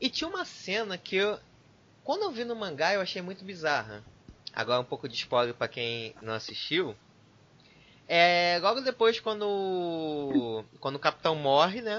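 Speaking at a fairly slow pace, a man with a high pitch moves through very wide pitch swings. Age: 20s. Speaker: podcast host. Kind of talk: casual chat.

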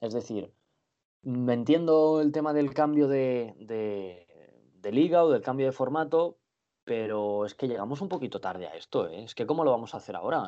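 Big swings in loudness mark a man's medium-pitched voice, which moves at a moderate pace with lively intonation. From Benidorm, Spain. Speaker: handball journalist. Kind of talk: casual sports chat. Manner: halting, repeats words.

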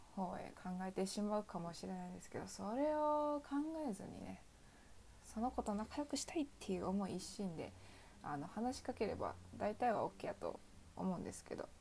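This is a woman with a Kansai accent. She speaks at a moderate pace. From Osaka, Kansai. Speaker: student podcaster. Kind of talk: solo casual talk. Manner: halting.

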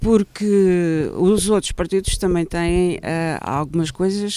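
A woman speaks at a fairly slow pace with a fairly low pitch, a dark, mellow tone and fairly even intonation. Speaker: political commentator. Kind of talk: panel discussion.

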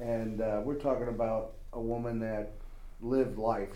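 A dark, mellow tone comes through at a fairly slow pace with monotone, flat intonation and audible room echo. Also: man. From Chicago. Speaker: student in a blindness program. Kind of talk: casual group chat.

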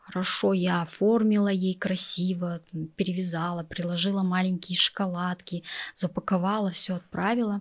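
At a moderate pace, a woman speaks in a monotone with flat intonation, in a very clean recording with a silent background. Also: medium pitch for a woman. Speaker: entrepreneur and office employee. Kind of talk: interview. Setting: studio.

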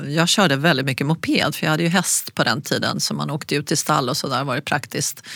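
Against noticeable background noise, a woman with a very deep, low pitch talks very fast with hardly any pauses and fairly even intonation. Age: 60s. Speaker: designer and yoga teacher. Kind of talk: interview.

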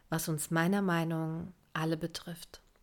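This woman talks at a fairly slow pace in a fairly low pitch. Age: 20s. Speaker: life coach. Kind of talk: scripted narration.

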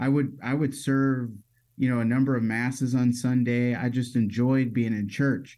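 A man speaks at a moderate pace with medium pitch and a dark, mellow tone. His intonation is monotone and flat, and his loudness is very even. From Metro Detroit, Michigan. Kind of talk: casual interview.

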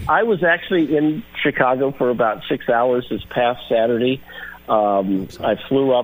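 Over noticeable background noise, a man with a medium-pitched voice speaks at a moderate pace with ordinary pitch variation. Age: 60s. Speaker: sports journalist. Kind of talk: radio interview.

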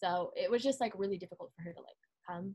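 A somewhat breathy woman talks in an American accent. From Southern California. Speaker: college student. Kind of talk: casual chat.

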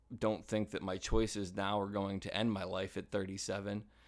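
On a very clean recording with a silent background, a man speaks at a moderate pace in a fairly low voice. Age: 30s. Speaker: podcast host. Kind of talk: personal monologue. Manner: halting.

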